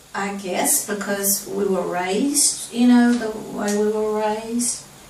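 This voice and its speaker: A woman with a Southern US accent, medium pitch and monotone, flat intonation at a fairly slow pace, amid noticeable background noise and audible room echo. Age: 70s. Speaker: interviewee recalling her life. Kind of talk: family interview.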